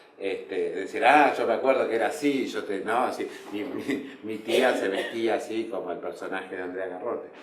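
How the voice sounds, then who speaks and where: A man at a moderate pace with hardly any pauses, noticeable background noise and audible room echo. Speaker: playwright. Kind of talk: interview. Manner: hesitant, many fillers.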